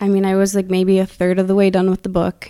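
In an Upper Midwest accent, a woman speaks with a dark, mellow tone. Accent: Upper Midwest American. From US Midwest, Wisconsin. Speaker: accountant and self-described intuitive. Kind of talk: casual chat.

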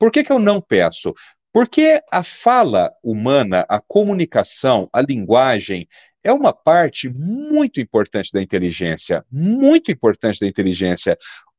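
The man speaks at a fairly slow pace against a quiet background. His sound is dry and close, with no echo. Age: 50s. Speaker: pediatric neurologist. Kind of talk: interview.

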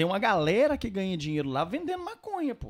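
A man's high-pitched voice, fairly quick, with very wide pitch swings. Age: 30s. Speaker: podcast guest, Brazilian living abroad. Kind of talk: casual chat. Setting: studio.

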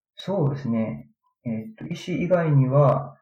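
A man speaks in a fairly high voice with a dark, mellow tone. He sounds somewhat breathy, with ordinary pitch variation. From Japan, Aichi Prefecture. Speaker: physical therapist and researcher. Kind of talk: interview.

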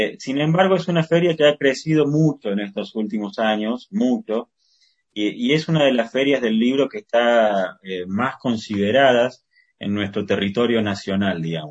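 Lively intonation runs through this man's speech. His pitch is medium and his pace moderate. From Argentina, Córdoba. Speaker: poet and journalist. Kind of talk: interview. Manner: halting, many fillers and repetitions.

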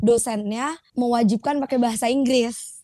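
A woman with an unremarkable speaking voice, fairly high pitch, fairly even intonation and moderate pace, in a dry, close sound with no echo and a very clean recording with a silent background. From Indonesia, Jakarta. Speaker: fresh graduate in international relations. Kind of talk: casual chat.

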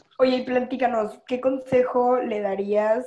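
Fairly slow speech in a Mexican accent. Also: woman. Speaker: podcast host. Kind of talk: casual chat. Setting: video call.

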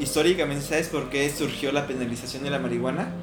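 This man's pitch varies in an ordinary way, with noticeable background noise and audible room echo in the recording. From Mexico. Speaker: podcast co-host. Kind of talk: casual chat.

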